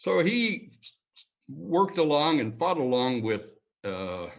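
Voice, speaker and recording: With a Montreal accent, this man talks in very wide pitch swings. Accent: Canadian English (Montreal). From Montreal, Canada. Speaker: community leader, retired security executive. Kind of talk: history lecture. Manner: casual, conversational.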